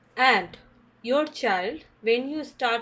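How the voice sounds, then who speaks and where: In an Indian accent, a woman talks at a very slow pace with ordinary pitch variation. The recording is very clean, with a silent background. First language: Hindi. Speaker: English teacher / channel host. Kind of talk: tutorial. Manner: halting.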